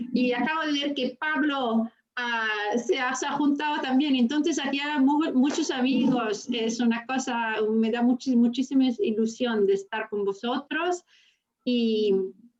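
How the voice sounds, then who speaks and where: A woman with a high voice talks rather slowly, her pitch varying in an ordinary way. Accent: non-native. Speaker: law professor. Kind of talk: casual talk in an online interview. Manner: halting, many fillers.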